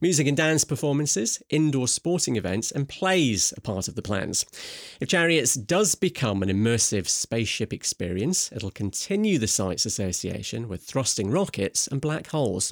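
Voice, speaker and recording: With a Scottish accent, a man speaks at a medium pitch and moderate pace, his pitch swinging very widely, on a very clean recording with a silent background and a dry, close sound with no echo. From Scotland. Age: 40s. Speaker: journalist and broadcaster. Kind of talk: news reading.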